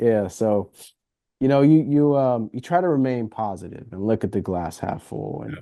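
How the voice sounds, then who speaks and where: At a moderate pace, a man with a medium-pitched voice and a dark, mellow tone speaks with lively intonation over a quiet background. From Southern California, Inglewood. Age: 20s. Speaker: former student journalist. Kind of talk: casual interview chat. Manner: halting, many fillers and repeats.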